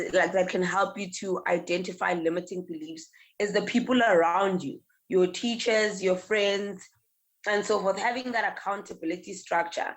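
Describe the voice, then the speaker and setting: Her voice is an unremarkable speaking voice, a woman at medium pitch with ordinary pitch variation. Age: 20s. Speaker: entrepreneur and speaker. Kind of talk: interview. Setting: in person next to hosts.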